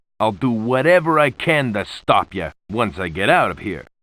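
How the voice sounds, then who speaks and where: A man growls in a put-on character voice at medium pitch, swinging very widely in pitch. His pace is moderate, and the recording is very clean with a silent background. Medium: video game. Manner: wisecracking.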